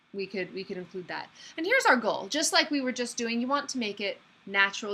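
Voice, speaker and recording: A woman speaks at a very fast pace with a high pitch. Her pitch swings very widely over noticeable background noise. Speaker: public speaking instructor. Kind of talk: online class lecture. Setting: online video meeting. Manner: conversational, occasionally stuttering.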